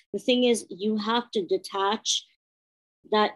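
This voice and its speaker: A woman speaks at a fairly slow pace at a medium pitch, an ordinary speaking voice. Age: 30s. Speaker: former medical doctor with chronic illness. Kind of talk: casual interview.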